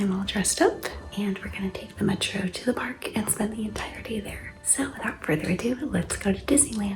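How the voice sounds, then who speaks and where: Someone whispers at a fairly quick pace with music playing in the background. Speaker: travel vlogger. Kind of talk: vlog talk to camera. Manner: whispering.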